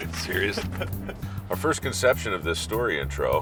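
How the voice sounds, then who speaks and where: Background music is playing. Over it, a man talks at a moderate pace. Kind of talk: interview question to experts.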